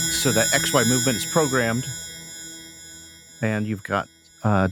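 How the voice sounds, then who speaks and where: Over music in the background, a man speaks at a medium pitch with ordinary pitch variation, the sound dry and close with no echo. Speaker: music software reviewer. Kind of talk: tutorial. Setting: screen recording. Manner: loud.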